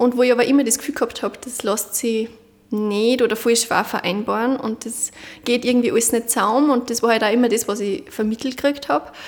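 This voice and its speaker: Over noticeable background noise, a woman talks at a fairly quick pace in a fairly high pitch with ordinary pitch variation. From Upper Austria, Munderfing. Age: 20s. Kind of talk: interview.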